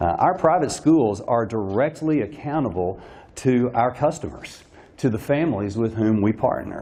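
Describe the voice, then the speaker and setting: A man's medium-pitched voice with lively intonation, against noticeable background noise. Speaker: private school administrator. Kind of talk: luncheon speech. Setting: luncheon with audience. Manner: fast.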